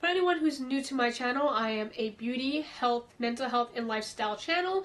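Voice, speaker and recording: A woman with an American accent, fairly high-pitched and fairly quick, over noticeable background noise. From US South, Florida. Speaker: beauty and mental health vlogger. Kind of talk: casual Q&A vlog.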